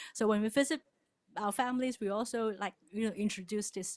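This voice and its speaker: Someone speaks with a Cantonese accent on a very clean recording with a silent background. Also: woman. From Hong Kong. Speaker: church member presenter. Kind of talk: presentation to congregation.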